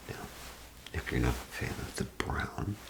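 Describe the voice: The speaker is whispering at a fairly slow pace. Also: man.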